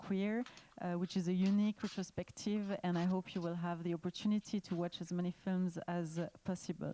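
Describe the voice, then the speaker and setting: In a French accent, a woman of medium pitch and dark, mellow tone speaks at a moderate pace with flat, monotone intonation, in a dry, close sound with no echo. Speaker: panel moderator. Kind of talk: panel introduction. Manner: halting with many fillers.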